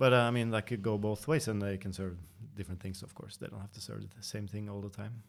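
Talking at a very fast pace with a Norwegian accent, a man keeps a fairly low pitch and fairly even intonation while his loudness swings widely. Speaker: coffee company podcast host. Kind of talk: casual interview.

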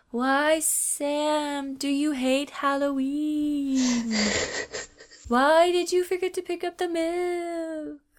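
This is a put-on character voice that sounds female, pitched high for a woman. The pace is very slow. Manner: eerie, haunting.

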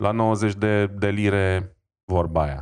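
The man's pitch is very deep and low. The background is quiet. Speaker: tech podcast co-host. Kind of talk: casual chat. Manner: halting, many filler sounds.

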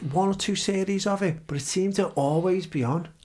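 Spoken at a fairly quick pace in a Liverpool accent, the voice shows ordinary pitch variation. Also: man. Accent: Scouse. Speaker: podcast host. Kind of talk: casual chat.

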